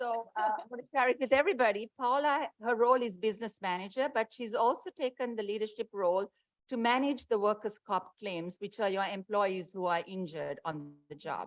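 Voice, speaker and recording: A woman speaks at a fairly quick pace and a fairly high pitch, with lively intonation. The sound is dry and close with no echo. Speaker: insurance program manager. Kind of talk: public presentation. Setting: board meeting with mic. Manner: loud.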